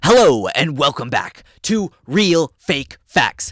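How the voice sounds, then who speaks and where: A put-on character voice, raspy and very slow, swings very widely in pitch. The recording is very clean with a silent background. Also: man, fairly high pitch for a man. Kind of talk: mock talk show host intro. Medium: stage. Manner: upbeat, showy.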